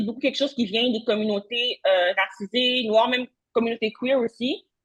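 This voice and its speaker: Using ordinary pitch variation, a woman speaks fairly quickly at a high pitch. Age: young. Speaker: social work researcher. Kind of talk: conference talk. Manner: fast.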